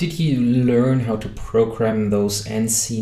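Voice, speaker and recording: Noticeable background noise and audible room echo surround a man speaking at a medium pitch with ordinary pitch variation. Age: 30s. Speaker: podcast host. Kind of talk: podcast interview.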